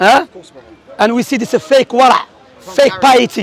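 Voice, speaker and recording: Recorded dry with no echo over crowd noise in the background, a man speaks very fast at an extremely high pitch. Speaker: Salafi preacher debating. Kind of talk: heated religious debate. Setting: outdoors public debate. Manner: emphatic, combative, rapid-fire. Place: open country. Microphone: lapel.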